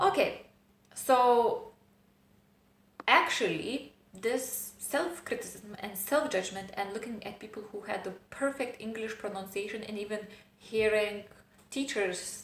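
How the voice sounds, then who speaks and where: A woman speaks at a fairly slow pace with ordinary pitch variation, her voice carrying audible room echo over noticeable background noise. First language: not English. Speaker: self-help vlogger. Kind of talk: personal vlog monologue. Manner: hesitant, with fillers.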